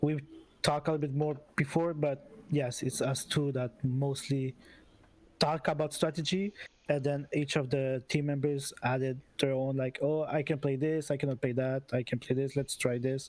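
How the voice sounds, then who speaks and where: Speaking at a moderate pace with a non-native accent, a man uses a fairly high pitch, a monotone, flat intonation and very even loudness. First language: not English. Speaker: esports team captain. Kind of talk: post-match interview. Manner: halting.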